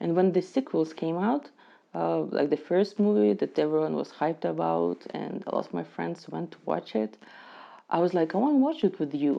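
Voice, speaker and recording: A woman with a non-native accent at a moderate pace. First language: not English. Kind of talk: casual movie reaction to camera.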